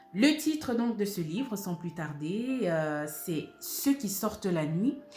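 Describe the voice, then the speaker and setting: Over music in the background, a woman talks at a very slow pace, her pitch swinging very widely. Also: medium pitch for a woman. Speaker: voice-over actress, audiobook narrator. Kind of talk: book review presentation to camera.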